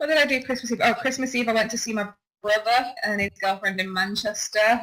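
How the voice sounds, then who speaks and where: A woman's fairly high voice with lively intonation, in a northern English accent. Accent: northern English, broad. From northern England, Warrington. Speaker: podcast co-host. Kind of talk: casual chat.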